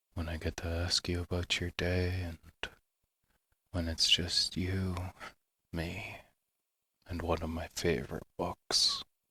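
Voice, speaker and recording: A man with a very deep, low pitch speaks at a very slow pace with long, frequent pauses, his tone both bright and sharp yet gentle and soothing, his intonation monotone and flat, in a very clean recording with a silent background and a dry, close sound with no echo. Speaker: sleep story narrator. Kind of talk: ASMR boyfriend roleplay intro. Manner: gentle, soothing.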